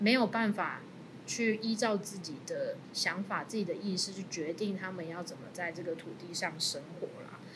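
Audible room echo surrounds a woman speaking at a medium pitch. Her pace is fairly slow, with ordinary pitch variation. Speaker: lawyer. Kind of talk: panel discussion on a legal case.

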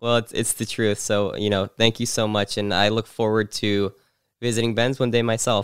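A man with an American accent at a medium pitch, monotone and flat, moderate in pace and very even in loudness, in a very clean, silent-background recording with a dry, close sound and no echo. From New Jersey. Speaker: podcast host. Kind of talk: interview.

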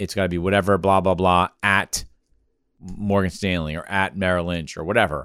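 A man's very deep, low voice, monotone and flat, at a moderate pace on a very clean recording with a silent background. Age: 40s. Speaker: podcast host, consulting firm executive. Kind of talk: casual business chat. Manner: halting, with fillers and repeats.

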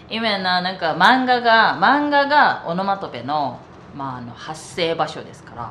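Someone speaks at a fairly slow pace against noticeable background noise. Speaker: podcast co-host, Japanese speaker. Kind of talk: casual bilingual chat.

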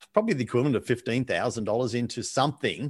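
In a very clean recording with a silent background, a man with an Australian accent speaks with ordinary pitch variation. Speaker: sales coach and author. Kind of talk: interview.

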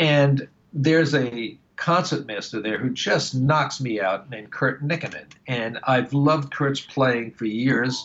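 With music playing in the background, a man with an American accent speaks fairly slowly with ordinary pitch variation. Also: medium pitch for a man. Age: 60s. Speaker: woodwind musician and retired music professor. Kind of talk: interview.

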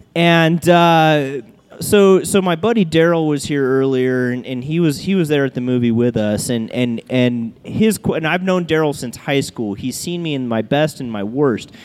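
A man with a fairly high voice talks with lively intonation and hardly any pauses over noticeable background noise. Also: moderate pace. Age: 30s. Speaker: brewery owner and bartender. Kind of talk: casual chat. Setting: live show recorded in a brewery bar.

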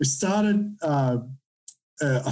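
A man's dark, mellow tone at a slow pace, fairly even intonation, and audible room echo.

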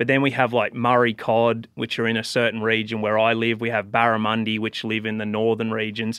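With an Australian accent, a man talks at a fairly quick pace and a medium pitch, in a monotone, flat intonation with hardly any pauses. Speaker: professional bass angler. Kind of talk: casual chat.

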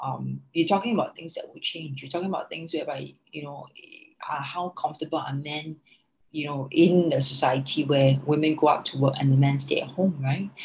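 A woman's very deep, low, somewhat breathy voice at a fairly quick pace, with fairly even intonation and big swings in loudness. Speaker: founder of a working mothers network. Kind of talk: interview. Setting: remote call.

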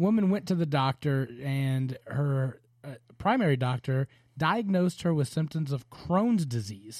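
A man speaks at a fairly slow pace in a fairly high, somewhat breathy voice. His intonation is lively. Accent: Southern US. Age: 40s. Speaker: podcast host. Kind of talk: casual chat; reading aloud.

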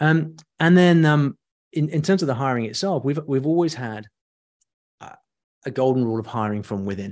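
With a British accent, a man speaks fairly quickly in a fairly high pitch, his intonation lively, his loudness swinging widely, and his pauses long and frequent. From UK. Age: middle-aged. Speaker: online education entrepreneur. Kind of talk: interview.

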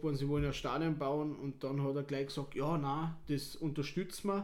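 This man's pitch is fairly high. His intonation is flat and monotone. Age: 30s. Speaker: football club board member. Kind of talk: casual interview. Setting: stadium.

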